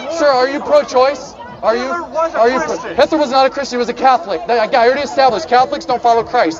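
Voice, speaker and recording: A man talks at a very fast pace, his pitch extremely high and his intonation lively. Crowd noise runs in the background. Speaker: street preacher. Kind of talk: street preaching debate. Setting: outdoors with a microphone.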